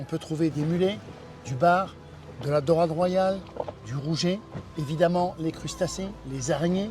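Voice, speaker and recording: A man with a high pitch and ordinary pitch variation, fairly slow with long, frequent pauses, over background music. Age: 60s. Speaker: diving centre owner and instructor. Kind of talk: interview. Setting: in his office by the sea.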